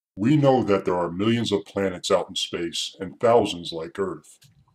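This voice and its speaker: At a moderate pace, a man speaks with a normal speaking voice, fairly low in pitch with ordinary pitch variation. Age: 60s. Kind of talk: reading own essay.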